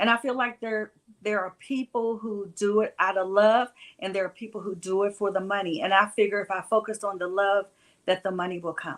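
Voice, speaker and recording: Using a plain, everyday voice, a woman talks at a medium pitch and a fairly quick pace with fairly even intonation. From West Virginia. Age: 60s. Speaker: music event promoter. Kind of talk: interview.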